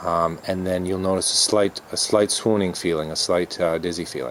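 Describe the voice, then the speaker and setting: The speaker mumbles at a moderate pace with fairly even intonation. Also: man. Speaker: yoga and dharma teacher. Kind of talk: dharma talk. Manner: mumbling; halting, many fillers.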